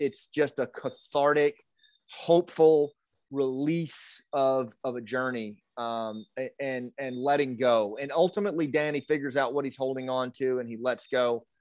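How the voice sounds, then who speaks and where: A man with an American accent in a normal speaking voice, fairly high in pitch, at a fairly slow pace with fairly even intonation, in a dry, close sound with no echo. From US South, rural Arkansas. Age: 50s. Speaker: retired special forces officer, storyteller and leadership coach. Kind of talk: interview. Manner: frequent fillers and repetitions.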